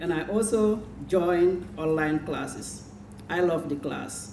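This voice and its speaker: Ordinary pitch variation amid noticeable background noise and audible room echo. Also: woman. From Gambia. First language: Jola. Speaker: adult literacy student. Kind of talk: prepared speech.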